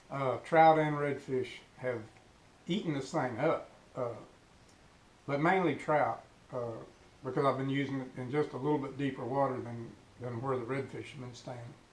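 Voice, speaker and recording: Audible room echo surrounds a man speaking at a medium pitch and moderate pace. He takes long, frequent pauses, with fairly even intonation. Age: 60s. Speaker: fishing YouTuber. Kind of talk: casual tutorial. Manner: hesitant, many filler words.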